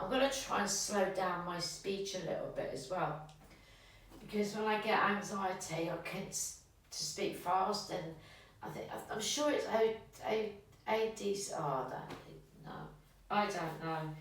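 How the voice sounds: Strong room echo surrounds a woman who speaks at a fairly slow pace with ordinary pitch variation. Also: medium pitch for a woman.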